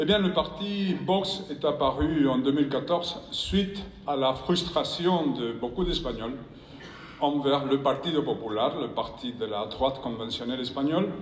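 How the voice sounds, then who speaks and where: Amid noticeable background noise and audible room echo, a man with a Spanish accent talks at a fairly slow pace in a fairly high pitch with ordinary pitch variation. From Spain. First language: Spanish (speaking French). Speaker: professor and former politician. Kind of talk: conference speech. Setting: stage with audience. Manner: reading from prepared text; halting, with repetitions.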